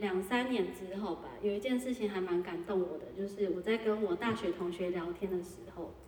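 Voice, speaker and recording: A woman's medium-pitched voice at a moderate pace with ordinary pitch variation, against noticeable background noise. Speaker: insurance sales agent. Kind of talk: interview.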